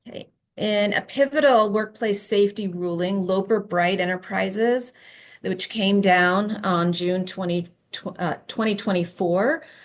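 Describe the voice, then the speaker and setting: An unremarkable speaking voice moves at a fairly slow pace with ordinary pitch variation against a quiet background. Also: woman, medium pitch for a woman. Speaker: employment lawyer presenter. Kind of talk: conference presentation.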